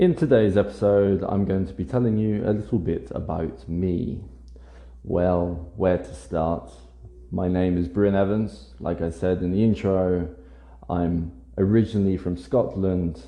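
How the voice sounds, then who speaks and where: A man with a very deep, low voice speaks at a fairly slow pace using lively intonation. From England, Norfolk and Essex. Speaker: English teacher. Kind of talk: casual monologue for language learners. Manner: hesitant, with fillers.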